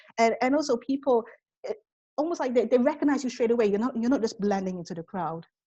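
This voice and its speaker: Very fast and high-pitched, a woman speaks with a dark, mellow tone. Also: lively intonation. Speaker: fintech executive. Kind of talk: interview conversation. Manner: hesitant, many fillers.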